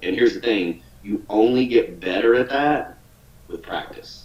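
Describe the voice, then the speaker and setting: Noticeable background noise sits behind a man speaking with a Southern US accent. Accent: Southern drawl. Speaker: online business coach. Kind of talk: webinar training talk. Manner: casual, repetitive stammering.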